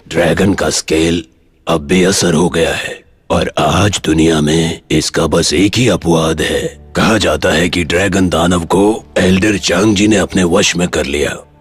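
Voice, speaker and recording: In a put-on character voice that is very deep and low, a man speaks at a moderate pace with music in the background. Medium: fan dub. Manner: measured, knowing.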